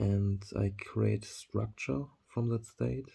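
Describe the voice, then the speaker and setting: A man with a German accent speaks at a very slow pace in a dark, mellow tone that is somewhat breathy. The recording is very clean, with a silent background. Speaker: vlogger. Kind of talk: monologue to camera. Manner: halting, many fillers.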